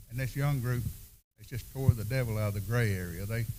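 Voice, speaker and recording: Somewhat breathy, a man speaks in a Southern US accent at a fairly quick pace. His pitch is medium, with ordinary variation. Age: 70s. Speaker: seminar panelist. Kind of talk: panel discussion.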